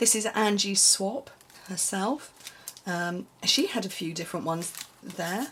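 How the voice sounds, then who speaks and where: Noticeable background noise sits behind a woman speaking at a medium pitch. She talks at a fairly slow pace with lively intonation. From UK. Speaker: papercraft demonstrator and video host. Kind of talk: casual vlog chat showing crafts. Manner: chatty, hesitant with many ums and restarts.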